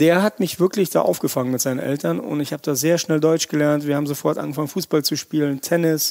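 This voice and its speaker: A man's fairly high voice at a very fast pace with hardly any pauses. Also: ordinary pitch variation. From Russia, moved to Erkelenz area at nine. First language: Russian (speaking German). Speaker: chef. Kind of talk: podcast interview. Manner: animated, colloquial.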